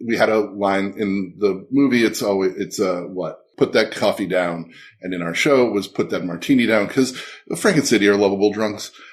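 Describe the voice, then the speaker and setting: A man mumbles at a fairly low pitch. He keeps a moderate pace. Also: ordinary pitch variation. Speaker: podcast guest, show co-creator and writer. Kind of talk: casual chat. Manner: mumbling; soft-spoken.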